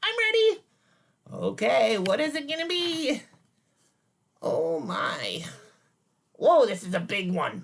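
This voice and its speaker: A man does a put-on character voice at an extremely high pitch. He talks at a fairly slow pace with long, frequent pauses. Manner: silly, playful.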